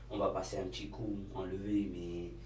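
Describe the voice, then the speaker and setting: There is audible room echo around a man's voice. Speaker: YouTuber and cleaning business owner. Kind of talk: casual vlog talk to camera. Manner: hesitant, many fillers.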